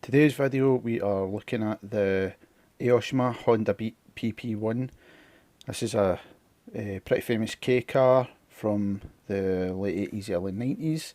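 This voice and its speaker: Using a fairly low, dark, mellow voice, a man with a Scottish accent speaks at a fairly slow pace with ordinary pitch variation and long, frequent pauses. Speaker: scale model builder. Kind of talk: casual model kit unboxing talk to camera.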